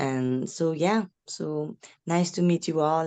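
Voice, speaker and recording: With a French accent, the speaker has a dark, mellow tone, ordinary pitch variation and a dry, close sound with no echo. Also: woman. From France. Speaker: parent. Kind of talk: meeting introduction. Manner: halting.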